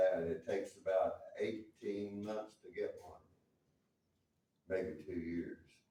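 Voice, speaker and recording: This man speaks with an American accent. His voice carries audible room echo. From US South. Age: 70s. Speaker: local government official. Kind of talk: town hall debate. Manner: halting.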